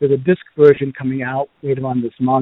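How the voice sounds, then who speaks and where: A man with a Boston accent and a fairly high pitch talks at a very fast pace. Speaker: podcast host. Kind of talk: casual reviews podcast. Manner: halting with fillers.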